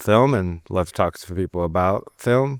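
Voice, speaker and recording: The sound is dry and close with no echo, the recording very clean over a silent background, and the pitch varies in an ordinary way. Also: man. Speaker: podcast host. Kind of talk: casual interview chat. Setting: studio. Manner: calm, soft-spoken. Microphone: close to the mic.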